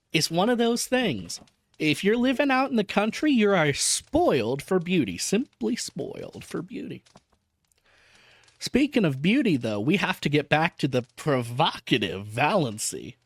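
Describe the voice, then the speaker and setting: A high-pitched man with an American accent, very wide pitch swings and a fairly slow pace, on a very clean recording with a silent background. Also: dry, close sound with no echo. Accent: Southern US accent, slipping in. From US South. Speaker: VTuber reading an audiobook. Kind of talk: reading aloud with casual commentary.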